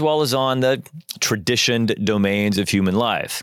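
The recording is very clean, with a silent background. A man speaks with a Midwestern American accent. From US Midwest, Joplin, Missouri. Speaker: podcast host and college dean. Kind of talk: solo lecture-style reflection.

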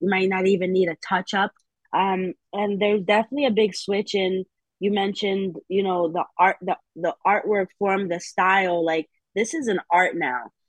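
A plain, everyday voice from a woman with an American accent, at a moderate pace with ordinary pitch variation. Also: medium pitch for a woman. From New Haven, Connecticut. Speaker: tattoo artist. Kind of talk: casual interview.

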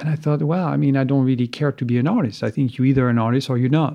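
A man with a French accent talks with ordinary pitch variation. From France, east of Paris. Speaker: sculptor. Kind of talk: interview. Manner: halting.

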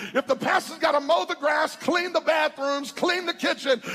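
Over noticeable background noise, a man speaks in an animated tone at an extremely high pitch. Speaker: preacher. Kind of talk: sermon, preacher in full flow with call-and-response. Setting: church with a live congregation. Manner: animated, fiery, crowd-working, with humor and exhortation.

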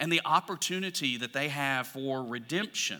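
A man with an Alabama accent speaks in a bright, sharp tone with lively intonation, in a very clean recording with a silent background. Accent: Southern US (Alabama). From US South, Alabama. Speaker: pastor. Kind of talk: sermon.

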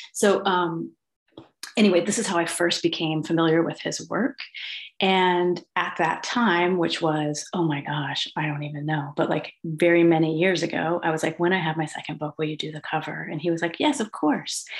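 Fairly even intonation carries an ordinary speaking voice with an American accent. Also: woman, fairly low pitch for a woman, moderate pace. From United States. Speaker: poet and teacher. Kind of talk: casual interview.

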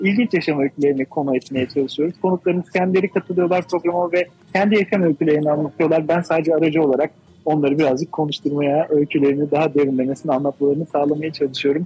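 Very fast and with hardly any pauses, a man speaks at a fairly high pitch with fairly even intonation and a dark, mellow tone, in a dry, close sound with no echo. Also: very even loudness. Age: 40s. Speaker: radio programmer. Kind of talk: live radio interview.

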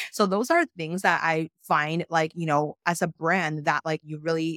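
A woman's fairly even intonation carries her speech along at a moderate pace. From outside the US. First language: not English. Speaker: venture capitalist and podcast host. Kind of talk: interview.

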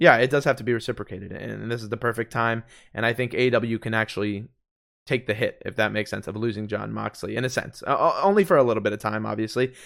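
On a very clean recording with a silent background, a man talks very fast with vocal fry. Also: medium pitch for a man, ordinary pitch variation. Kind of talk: casual chat.

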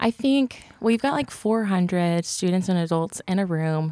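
With an American accent and a dark, mellow tone, a woman talks with ordinary pitch variation in a dry, close sound with no echo, on a very clean recording against a silent background. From Texas, Cleburne. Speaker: youth ministry co-director. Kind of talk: casual chat.

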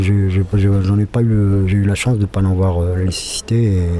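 A man with a fairly low pitch and a dark, mellow tone speaks in a flat monotone. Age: 50s. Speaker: employee in work-integration program. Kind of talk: testimony. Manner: halting.

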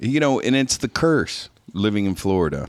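Animated in tone, a man speaks with ordinary pitch variation. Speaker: podcast co-host, barbecue cook. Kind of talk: casual interview chat. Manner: animated, joking.

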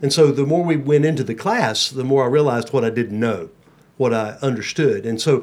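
A man talks in a normal speaking voice at a moderate pace. His pitch is fairly high, with ordinary pitch variation. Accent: American. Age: 60s. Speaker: pastor. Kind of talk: casual chat. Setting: studio.

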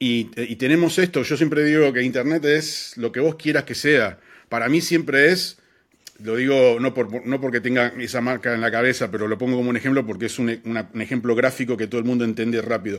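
With a Rioplatense accent, a man speaks at a fairly quick pace, his medium pitch showing ordinary variation. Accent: Argentine Rioplatense Spanish. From Argentina, Buenos Aires. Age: 40s. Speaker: advertising creative. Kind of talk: interview. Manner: hesitant with fillers and repetitions.

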